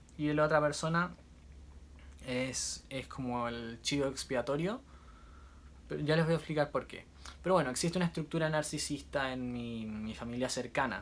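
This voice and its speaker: A man with a Chilean accent talks at a moderate pace and a fairly high pitch, with ordinary pitch variation and long, frequent pauses. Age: 20s. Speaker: musician and social media creator. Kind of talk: casual vlog monologue. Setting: on a cruise ship. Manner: intense, nonstop talking.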